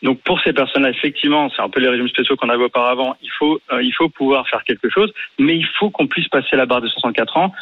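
A man at a very fast pace, with a fairly high pitch and ordinary pitch variation. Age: 30s. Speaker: radio caller. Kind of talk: call-in discussion. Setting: phone call.

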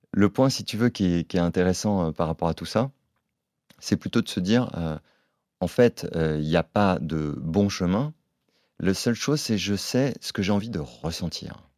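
Dry and close with no echo, a man's very deep, low voice, dark and mellow in tone, moves at a fairly slow pace with lively intonation. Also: very clean recording, silent background. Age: 40s. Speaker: entrepreneur. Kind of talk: casual chat.

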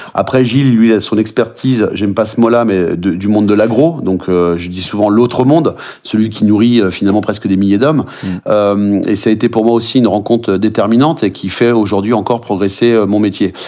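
Speaking at a fairly quick pace with hardly any pauses, a man uses a fairly low, dark and mellow voice with ordinary pitch variation. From Brittany, France. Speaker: chef and trail runner. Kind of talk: podcast interview.

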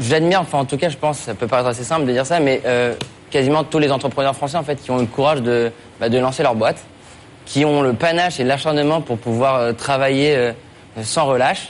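A man with fairly high pitch talks at a fairly quick pace, with long, frequent pauses. His intonation is fairly even and his loudness very even. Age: 20s. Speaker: startup founder, contest finalist. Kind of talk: pitch and Q&A. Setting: TV studio.

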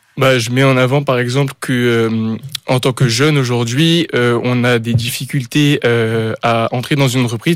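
A man speaks at a fairly slow pace, his medium-pitched voice holding a fairly even intonation. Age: 20s. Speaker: apprentice student. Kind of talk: radio interview. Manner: halting, hesitant.

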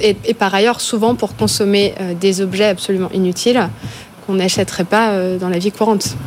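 A woman talks at a moderate pace with a medium pitch and fairly even intonation. Noticeable background noise is present. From France, Ardennes. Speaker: tech consultant. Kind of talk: panel discussion.

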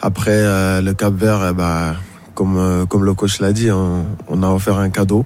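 A man speaks very slowly in a very deep, low voice, his loudness very even and his intonation flat and monotone, with audible echo in the room. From Mauritania. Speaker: journalist. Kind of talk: radio football discussion. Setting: radio studio.

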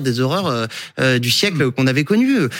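In a normal speaking voice, a man talks at a medium pitch and moderate pace with lively intonation. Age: 40s. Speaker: political journalist. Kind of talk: televised debate.

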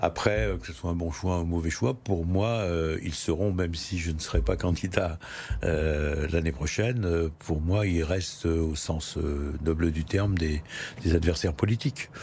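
A man's very deep, low pitch at a fairly slow pace. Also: ordinary pitch variation. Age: 70s. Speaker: mayor and politician. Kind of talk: political interview. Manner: halting, with frequent hesitations.

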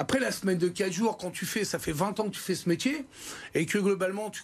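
A man speaks here. His tone is animated. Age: 50s. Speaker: restaurant chef. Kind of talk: TV studio interview. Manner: animated, halting with many repetitions.

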